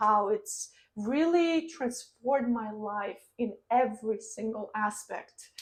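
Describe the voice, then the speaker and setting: The speaker is a woman with a fairly high voice. She talks with a non-native accent. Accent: foreign accent, lasting. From Ukraine. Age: 20s. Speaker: online entrepreneur and vlogger. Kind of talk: personal story vlog.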